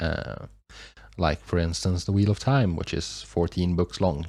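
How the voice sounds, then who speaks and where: A man with a non-native accent. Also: very clean recording, silent background. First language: not English. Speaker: YouTube reaction reviewer. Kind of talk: casual review monologue. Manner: halting, many fillers and restarts.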